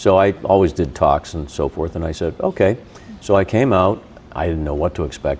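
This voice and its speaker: Someone with an American accent talks at a fairly quick pace. Noticeable background noise is present. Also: man. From Boston area. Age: 60s. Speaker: radio host. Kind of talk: casual chat. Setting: in-person recording at a gym.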